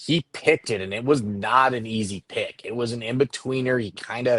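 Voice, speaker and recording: In an ordinary speaking voice, a man talks at a moderate pace with fairly even intonation, the sound dry and close with no echo. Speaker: baseball scout. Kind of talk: casual chat.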